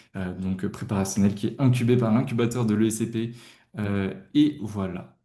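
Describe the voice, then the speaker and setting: A man talks at a moderate pace in a fairly low, dark, mellow voice with audible room echo. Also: fairly even intonation. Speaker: tutoring company founder. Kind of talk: webinar presentation. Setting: livestream. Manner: hesitant, many fillers.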